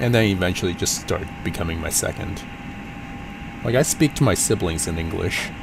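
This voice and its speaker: In a Cantonese accent, the speaker talks at a fairly quick pace with lively intonation and long, frequent pauses amid noticeable background noise. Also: man, very deep, low pitch for a man. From US, Portland, Oregon. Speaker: flight sim streamer. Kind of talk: casual live stream chat. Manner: halting.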